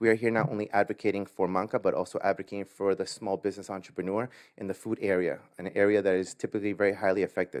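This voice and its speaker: A fairly low-pitched man with a Spanish accent, very fast, with fairly even intonation, dry and close with no echo, over a quiet background. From Latin America, immigrated to US. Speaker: business owner. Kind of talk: award acceptance speech.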